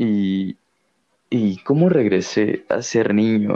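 A man's dark, mellow tone with a Mexican accent. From Mexico. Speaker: podcast co-host, visual artist. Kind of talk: casual chat.

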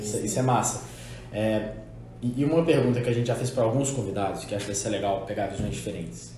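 Very fast speech from a man with ordinary pitch variation. Audible room echo and noticeable background noise surround him. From Minas Gerais. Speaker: podcast host. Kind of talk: casual chat.

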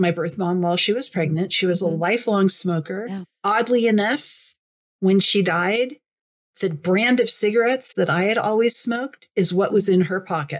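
A woman with an ordinary speaking voice, medium pitch, ordinary pitch variation, and a moderate pace. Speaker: adoptee sharing her story. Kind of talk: interview testimony.

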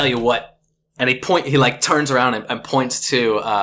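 Natural-voiced reading aloud, pitch varying in an ordinary way, a quiet background behind it

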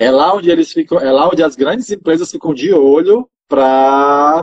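The voice is a normal speaking voice with lively intonation at a moderate pace, recorded dry and close with no echo. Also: man. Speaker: marketing manager and game designer. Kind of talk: interview.

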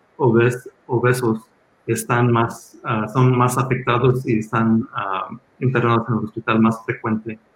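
A somewhat breathy man's voice at a medium pitch and fairly slow pace. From Los Angeles, raised there after emigrating from Mexico at six. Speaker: hospital physician. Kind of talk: panel talk with slides at a community health town hall. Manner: halting, many filler sounds.

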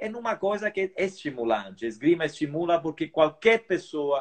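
Using an ordinary speaking voice, a man talks at a moderate pace in a fairly high pitch with lively intonation. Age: 50s. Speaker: veteran fencer and sports association leader. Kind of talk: interview.

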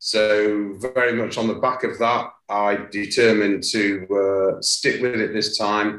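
A man speaks at a very slow pace with hardly any pauses, his fairly low voice monotone and flat. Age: 60s. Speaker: podcast guest sharing health journey. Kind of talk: interview conversation. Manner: formal, hesitant with fillers.

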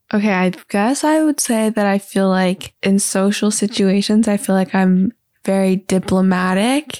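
A woman's medium-pitched, plain, everyday voice at a fairly slow pace, with ordinary pitch variation and very even loudness, in a dry, close sound with no echo and a very clean recording with a silent background. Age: 20s. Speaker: podcast co-host. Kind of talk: casual chat.

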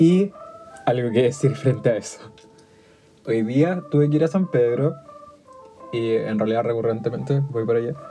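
A man with a Chilean accent talks at a moderate pace and medium pitch, with ordinary pitch variation. He takes long, frequent pauses over noticeable background noise. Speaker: podcast host. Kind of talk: casual chat.

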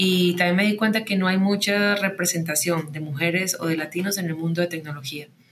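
With noticeable background noise behind her, a woman talks at a fairly quick pace with hardly any pauses, a fairly low pitch and fairly even intonation. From Colombia, Medellín. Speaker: tech company founder and CEO. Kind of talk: interview.

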